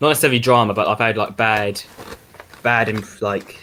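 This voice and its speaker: Over noticeable background noise, a man's intonation stays fairly even. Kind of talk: casual chat.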